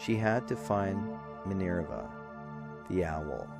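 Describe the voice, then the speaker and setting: A man's intonation is lively as music plays in the background. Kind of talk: bedtime story narration. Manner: soft, rhythmic.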